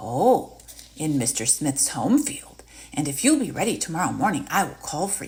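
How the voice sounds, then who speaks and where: This is a put-on character voice at a middle pitch. It moves at a moderate pace with very wide pitch swings. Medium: read story. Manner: sly, coaxing.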